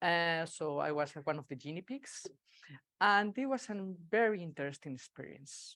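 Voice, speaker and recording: Speaking with a Spanish accent at a moderate pace, a woman with a fairly low pitch shows very wide pitch swings and big swings in loudness on a very clean recording with a silent background. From Spain. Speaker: agile consultant and speaker. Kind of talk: conference talk. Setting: meetup stage with audience, hybrid.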